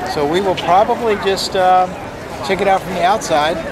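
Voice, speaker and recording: A man talks at a moderate pace. Crowd noise carries in the background. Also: dry sound with no echo. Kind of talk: casual vlog chat. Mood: amused, relaxed. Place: street. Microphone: phone near.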